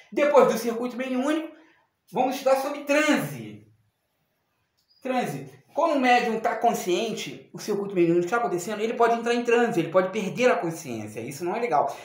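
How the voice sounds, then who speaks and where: An extremely high-pitched man at a fairly quick pace, lively in intonation, with audible room echo. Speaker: spiritualist teacher. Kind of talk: video lesson. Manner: fast; halting, repetitive stumbles.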